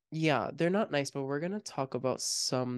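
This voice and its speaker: An American accent at a fairly slow pace, over a quiet background. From Miami, US. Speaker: podcast host. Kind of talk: casual chat.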